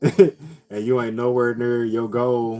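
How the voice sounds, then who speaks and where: A man's voice over background music. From US Midwest, St. Louis. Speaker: live streamer. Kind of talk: casual chat. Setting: live stream. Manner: animated.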